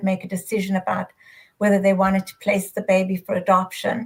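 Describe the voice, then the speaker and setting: A woman speaks with a South African accent. Her pace is fairly quick. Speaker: adoption educator, retired social worker. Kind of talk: panel discussion.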